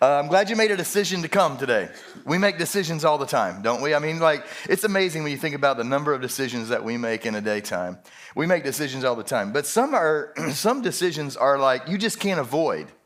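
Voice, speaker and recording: A man talks very fast at a fairly high pitch with very wide pitch swings. Noticeable background noise is present. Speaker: pastor. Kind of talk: sermon. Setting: church. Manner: casual, conversational.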